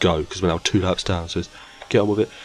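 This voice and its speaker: Noticeable background noise sits under a man's voice. His pitch is very deep and low, his intonation monotone and flat. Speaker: gaming YouTuber. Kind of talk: gameplay commentary.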